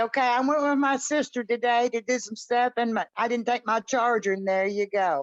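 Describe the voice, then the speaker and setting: Against a quiet background, a woman with a Southern US accent talks at a moderate pace and a high pitch, with ordinary pitch variation. The sound is dry and close, with no echo. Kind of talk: casual chat.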